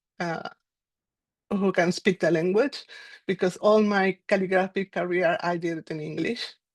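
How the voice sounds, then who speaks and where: In a Spanish accent, a woman speaks at a medium pitch, recorded with a dry, close sound and no echo. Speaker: calligraphy mentee. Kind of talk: online panel discussion. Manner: hesitant, many fillers.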